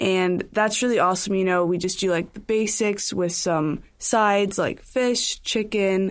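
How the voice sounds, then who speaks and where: An ordinary speaking voice talks at a fairly slow pace with fairly even intonation, very even loudness and hardly any pauses, in a very clean recording with a silent background. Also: woman, medium pitch for a woman. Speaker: college student athlete. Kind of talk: casual chat. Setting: studio.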